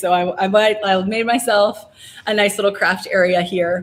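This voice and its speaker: A woman talks with a pitch in the medium range. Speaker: craft workshop host. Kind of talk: tutorial. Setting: winery craft area, livestream. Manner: fast; casual, filler-heavy.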